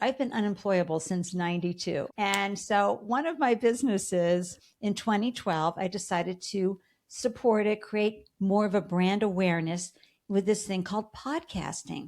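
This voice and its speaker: On a very clean recording with a silent background, a woman with a slight Boston accent speaks at a moderate pace and a medium pitch, with an animated tone and lively intonation. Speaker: entrepreneur and podcaster. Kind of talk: interview.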